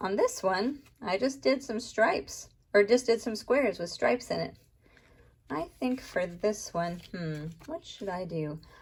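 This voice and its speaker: Somewhat breathy and fairly slow, a woman speaks at a fairly high pitch with very wide pitch swings. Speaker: art teacher. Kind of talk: tutorial.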